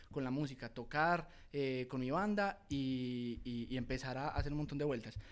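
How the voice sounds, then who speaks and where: Speaking at a fairly high pitch, a man shows ordinary pitch variation. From Colombia, Antioquia (Guatapé). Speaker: music producer and sound engineer. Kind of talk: casual interview. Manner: stammering at times.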